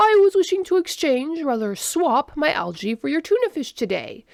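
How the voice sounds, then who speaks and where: A woman puts on a character voice, pitched high and swinging very widely, delivered at a moderate pace. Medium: read story. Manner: formal, literal.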